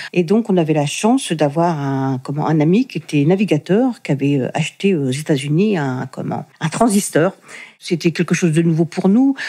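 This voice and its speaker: With lively intonation, a woman speaks in a dark, mellow tone at a fairly low pitch. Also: moderate pace. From Normandy, France (Le Havre). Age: 60s. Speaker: interviewee sharing her life story. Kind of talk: testimony. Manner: hesitant, many fillers and repetitions.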